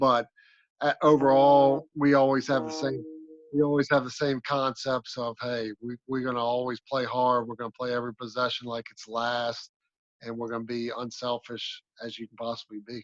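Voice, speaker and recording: Heard in a dry, close sound with no echo, a man with a slight Southern US accent and a medium pitch speaks at a moderate pace. His intonation is monotone and flat, while his loudness swings widely. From Maryland, south of Annapolis. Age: 40s. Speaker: basketball coach. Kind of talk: interview.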